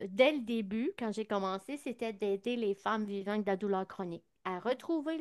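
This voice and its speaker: A woman with an unremarkable speaking voice and fairly high pitch shows ordinary pitch variation, captured dry and close with no echo over a quiet background. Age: 60s. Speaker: naturopath. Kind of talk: interview.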